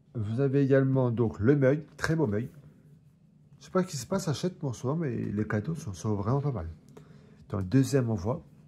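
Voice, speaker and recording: Pausing long and often, a man with a medium-pitched, somewhat breathy voice and a dark, mellow tone speaks at a moderate pace with lively intonation. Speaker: collector reviewing magazine collections. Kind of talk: casual unboxing review. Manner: stumbling over words.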